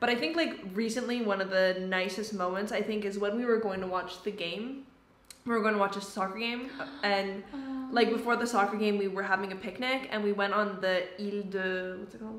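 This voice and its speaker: Heard with audible room echo, the voice carries a Canadian accent and fairly even intonation. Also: woman, medium pitch for a woman, fairly quick pace. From Canada. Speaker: YouTuber; vlogger friend. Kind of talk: casual chat. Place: home room. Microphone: camera far.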